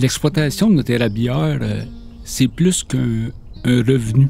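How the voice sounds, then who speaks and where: Music plays behind a man who speaks very slowly at a medium pitch with ordinary pitch variation. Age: 60s. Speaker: maple syrup producer. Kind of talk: interview testimony.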